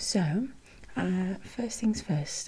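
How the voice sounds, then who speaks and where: Noticeable background noise is present. A soft-spoken woman with a gentle tone speaks at a very slow pace. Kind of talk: soft-spoken role-play instructions to viewer. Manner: soft-spoken, gentle ASMR voice.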